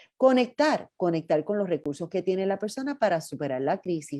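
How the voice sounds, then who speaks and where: A woman speaks in a fairly low voice with a dark, mellow tone. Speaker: psychologist and workshop presenter. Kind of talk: workshop training talk.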